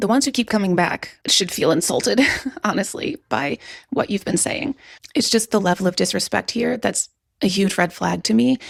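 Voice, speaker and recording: A woman's medium-pitched voice with vocal fry and very wide pitch swings, at a moderate pace and very even loudness, in a dry, close sound with no echo on a very clean recording with a silent background. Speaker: youtuber, commentary creator. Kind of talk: reaction commentary vlog.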